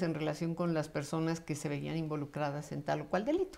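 Against a quiet background, a woman speaks with a very deep, low pitch. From Mexico City. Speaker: judge; interviewee. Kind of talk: interview. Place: home room.

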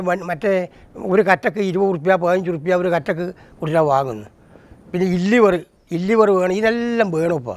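Dry sound with no echo, a man with high pitch and ordinary pitch variation. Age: 70s. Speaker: traditional potter. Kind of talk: interview testimony. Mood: rueful, explaining hardships. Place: home room. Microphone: lapel.

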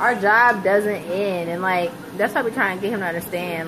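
Noticeable background noise runs under the clip. A woman talks at a moderate pace. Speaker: family vlogger. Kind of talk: casual vlog chat. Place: kitchen. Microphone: phone near.

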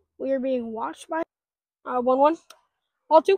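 A high-pitched woman speaks at a fairly slow pace. The sound is dry with no echo, with light background noise. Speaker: wiffle ball league organizer and commentator. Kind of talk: sports commentary. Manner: casual, joking, excitable and a bit scattered. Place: open country. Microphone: phone near.

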